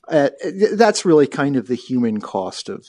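Over a quiet background, a man speaks fairly slowly at a medium pitch, his dark, mellow tone making very wide pitch swings. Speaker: war veteran. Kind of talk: radio interview. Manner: formal, articulate; hesitant, repeats words.

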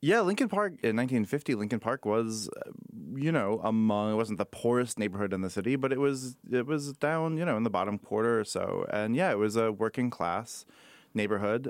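In a normal speaking voice, a man talks at a fairly quick pace with medium pitch and ordinary pitch variation, on a very clean recording with a silent background. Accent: American. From Chicago. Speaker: author and workshop curator. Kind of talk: radio interview. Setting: studio.

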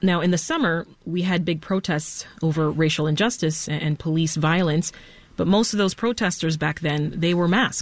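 Her voice is an unremarkable speaking voice, and her pitch is fairly low. The woman talks at a moderate pace with ordinary pitch variation. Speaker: radio host. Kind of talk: live radio interview. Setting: radio studio.

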